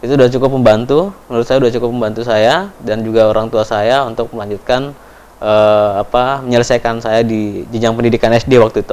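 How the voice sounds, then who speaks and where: Very fast speech with hardly any pauses keeps a fairly even intonation. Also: man. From Papua, Indonesia (Timika); Papua, Indonesia. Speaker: education foundation speaker; interviewee. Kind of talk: interview testimony. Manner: hesitant, many fillers. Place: studio.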